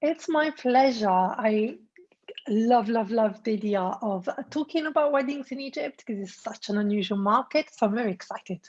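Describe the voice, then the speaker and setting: A somewhat breathy woman with an Italian accent talks at a moderate pace and a fairly high pitch, with ordinary pitch variation. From Italy. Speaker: destination wedding planner. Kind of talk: interview.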